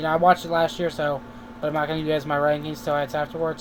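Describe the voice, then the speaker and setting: A man speaking at a very fast pace over noticeable background noise. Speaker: YouTube TV reviewer. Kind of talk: casual video review. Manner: halting, many fillers.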